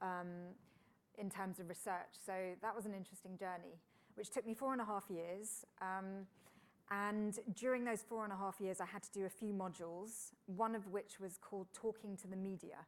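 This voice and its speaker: A woman at medium pitch with a British accent, moderate pace and fairly even intonation. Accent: British, mistaken for Florida. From UK. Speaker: engineer and science broadcaster. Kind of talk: interview conversation. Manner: casual, with frequent fillers.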